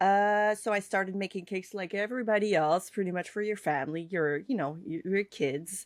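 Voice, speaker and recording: On a very clean recording with a silent background, a woman speaks with a Quebec accent. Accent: French Canadian accent in English. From Quebec / French Canada. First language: French. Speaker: cake artist and online instructor. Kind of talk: podcast interview. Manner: halting, many fillers.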